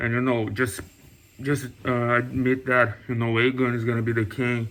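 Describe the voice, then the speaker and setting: A man with a non-native accent talks at a moderate pace in a monotone, flat intonation. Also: medium pitch for a man. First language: not English. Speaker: TV review youtuber. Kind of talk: casual video review. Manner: hesitant, many fillers.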